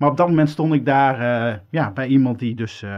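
Here a man with a medium pitch and a normal speaking voice talks at a moderate pace, his intonation fairly even. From Netherlands, Groningen. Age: 40s. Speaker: podcast host, radio maker. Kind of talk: interview.

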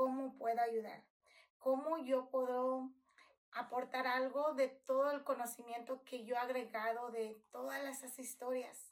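A woman speaks in a high voice at a fairly slow pace, her intonation flat and monotone. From Mexico, Nayarit (rural, near Tepic). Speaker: podcast host. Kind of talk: podcast monologue introduction.

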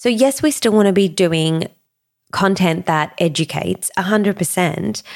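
With an Australian accent, a woman speaks at a medium pitch. Her tone is animated and her intonation lively. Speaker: podcast host and business coach. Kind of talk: solo podcast monologue. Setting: studio.

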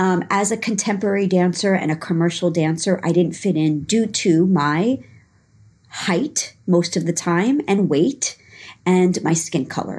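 At a fairly slow pace, a woman speaks with a New York accent and medium pitch. Her loudness is very even, on a very clean recording, silent background. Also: ordinary pitch variation. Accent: New York American. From New York, Long Island. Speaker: dance fitness instructor. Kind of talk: casual interview. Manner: hesitant, many fillers.

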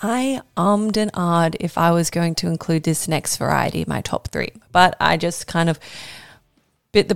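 With ordinary pitch variation and a moderate pace, a woman talks in an unremarkable speaking voice at a fairly low pitch. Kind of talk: casual educational monologue. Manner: casual, chatty, laughs often.

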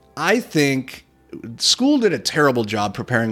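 Man with lively intonation over background music. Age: 30s. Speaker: podcast host and real estate investor. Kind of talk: casual solo podcast monologue. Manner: casual, repeats words often.

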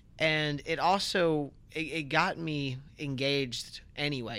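A man's fairly high voice with fairly even intonation. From Central Florida (Port Orange), moved from North Carolina at four. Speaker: city council member. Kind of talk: interview. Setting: podcast studio. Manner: halting, many fillers and restarts.

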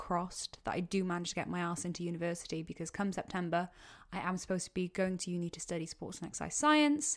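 With a Welsh accent, a woman speaks at a very fast pace. Her pitch sits in the medium range. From Wales. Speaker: podcast host. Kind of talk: solo Q&A monologue. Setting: home podcast mic. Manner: casual, rambling.

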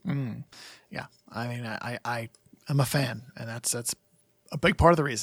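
A man speaks at a moderate pace and a medium pitch, a bit breathy, with ordinary pitch variation, big swings in loudness, long and frequent pauses, and a dry, close sound with no echo. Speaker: podcast host. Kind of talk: casual chat. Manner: casual, hesitant with fillers.

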